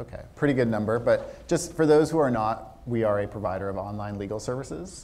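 Speaking at a moderate pace, a man talks with a fairly low pitch. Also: slightly mellow tone.

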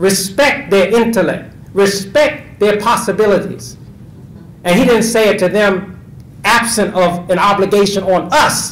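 A man at high pitch, fairly slow, with a fairly bright tone, ordinary pitch variation and audible room echo

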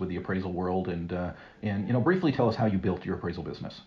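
Very deep and low, this man's voice comes out somewhat breathy. He speaks at a very fast pace with ordinary pitch variation. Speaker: podcast host. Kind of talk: interview. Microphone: phone backup recording, poor audio.

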